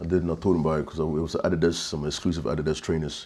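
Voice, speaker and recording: A London accent at a very fast pace, dark and mellow in tone, with monotone, flat intonation. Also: man. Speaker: victim's best friend. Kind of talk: interview. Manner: halting.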